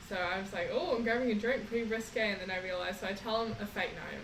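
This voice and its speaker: A woman with a New Zealand accent talks at a fairly quick pace, her medium pitch showing ordinary variation. Noticeable background noise and audible room echo fill the recording. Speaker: traveller. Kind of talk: casual chat.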